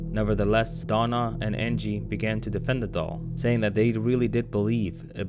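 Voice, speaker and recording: With music in the background and audible room echo, a man is speaking. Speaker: YouTuber. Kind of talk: storytelling narration. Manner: put-on low voice.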